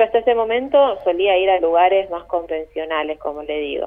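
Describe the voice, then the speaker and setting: At a moderate pace, a woman uses an ordinary speaking voice pitched in the medium range. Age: 30s. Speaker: tour guide. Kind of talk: phone interview. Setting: phone call.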